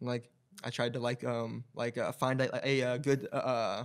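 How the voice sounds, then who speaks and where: The man's voice is pitched in the medium range. He talks at a moderate speed. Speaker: podcast co-host and vintage shop owner. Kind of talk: casual chat. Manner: halting, many fillers and repeated syllables.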